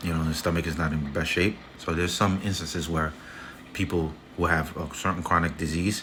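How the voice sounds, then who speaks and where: Amid audible room echo, a man with a very deep, low voice speaks fairly quickly in a flat monotone. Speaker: health content creator. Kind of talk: casual tutorial monologue. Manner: fast; halting, with false starts.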